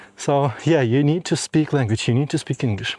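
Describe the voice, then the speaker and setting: Dry and close with no echo, a man's voice sits at a fairly high pitch, with a dark, mellow tone and ordinary pitch variation. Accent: non-native. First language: not English. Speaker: audio video engineer and vlogger. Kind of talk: walking vlog. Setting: outdoors, walking. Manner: hesitant with fillers.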